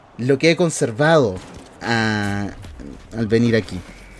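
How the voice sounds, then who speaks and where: Music is audible behind the voice. A man talks with ordinary pitch variation. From southern Chile, Temuco. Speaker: content creator. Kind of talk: personal vlog monologue. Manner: casual, with frequent fillers.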